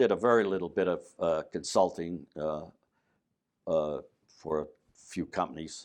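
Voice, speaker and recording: A man speaks in a very deep, low pitch with ordinary pitch variation. His pace is fairly slow, broken by long, frequent pauses. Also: quiet background. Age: 80s+. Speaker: retired mining executive and educator. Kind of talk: oral history interview. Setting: hotel. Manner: halting, many fillers.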